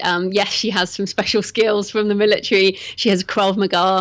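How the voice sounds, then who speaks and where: Using a British accent, a woman speaks at a fairly quick pace with a medium pitch and monotone, flat intonation, on a very clean recording with a silent background. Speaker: thriller author. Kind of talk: interview.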